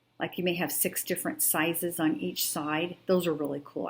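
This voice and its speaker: On a very clean recording with a silent background, a woman speaks at a moderate pace in a fairly low voice. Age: 60s. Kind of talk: tutorial. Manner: casual, hesitant.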